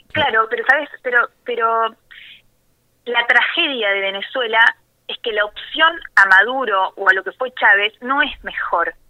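Speaking at a fairly slow pace, a woman with a fairly high pitch shows ordinary pitch variation. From Argentina, rural Buenos Aires province near Necochea. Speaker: journalist. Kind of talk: interview. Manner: halting, repeats words.

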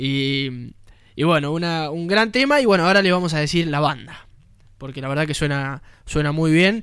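At a moderate pace, a man uses a fairly high pitch with ordinary pitch variation. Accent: Rioplatense. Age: 20s. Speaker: radio host. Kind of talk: radio show.

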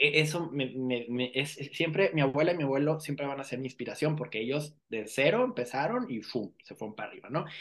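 A man talks at a fairly quick pace in a normal speaking voice, his fairly high pitch showing ordinary variation while his loudness swings widely. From Mexico, Escuinapa, Sinaloa. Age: 40s. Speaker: fashion designer. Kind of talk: interview.

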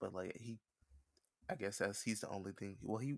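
A man with an American accent talks at a fairly low pitch with ordinary pitch variation. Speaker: podcast host. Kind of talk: casual chat. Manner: fast talker.

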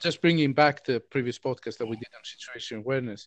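A man talks at a fast pace with ordinary pitch variation. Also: medium pitch for a man.

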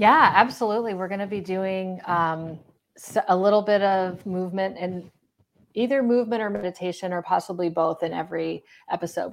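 This is a woman with a plain, everyday voice. Her pitch is medium and varies in an ordinary way. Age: 40s. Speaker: recovery coach and podcaster. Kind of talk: interview.

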